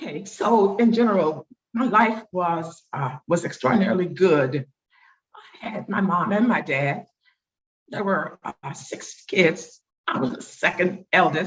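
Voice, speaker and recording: A woman with an American accent and an unremarkable speaking voice talks at a fairly slow pace in a medium pitch, her loudness swinging widely. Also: lively intonation. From Oviedo, Florida (US South). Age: 60s. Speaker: oral history interviewee. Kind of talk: oral history interview. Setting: video call.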